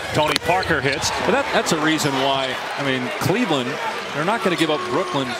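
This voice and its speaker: Someone speaks at a fairly quick pace over loud background noise. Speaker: play-by-play basketball commentator. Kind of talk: live sports commentary. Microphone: headset.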